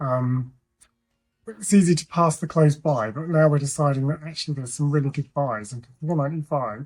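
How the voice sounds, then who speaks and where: A man mumbles at a fairly quick pace in a fairly high pitch. His voice is somewhat breathy, with ordinary pitch variation. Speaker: thrifting vlogger. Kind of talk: casual vlog chat. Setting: outdoors and in charity shops. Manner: mumbling.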